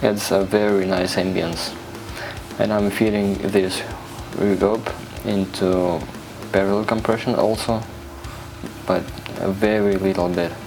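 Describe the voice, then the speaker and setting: A man's fairly low, monotone voice, fairly slow with long, frequent pauses and very even loudness, with audible room echo and music in the background. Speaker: music producer. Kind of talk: tutorial.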